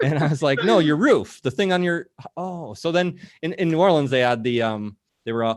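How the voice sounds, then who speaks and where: At a very fast pace, the speaker talks with lively intonation and a slight Minnesotan accent. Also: man. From Minnesota, US Midwest. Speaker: show co-host, marketer. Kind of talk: casual interview on a live video show. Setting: video call.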